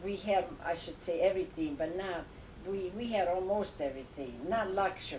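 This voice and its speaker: A woman with an Italian accent speaks at a moderate pace and medium pitch with ordinary pitch variation, in audible room echo. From Italy, Tuscany near Lucca. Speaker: grandmother. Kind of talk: family interview. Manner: halting.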